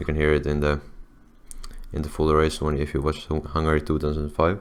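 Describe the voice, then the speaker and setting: With a non-native accent, a man speaks at a moderate pace in a very deep, low pitch. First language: not English. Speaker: video editing tutorial creator. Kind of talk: tutorial. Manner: halting, many fillers and restarts; casual.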